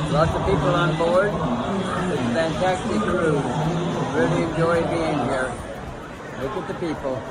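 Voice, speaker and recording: A man talks at a fairly slow pace with long, frequent pauses. Loud background noise runs behind him. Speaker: solo cruiser. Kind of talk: casual vacation video narration. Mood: cheerful, enthusiastic. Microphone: phone near.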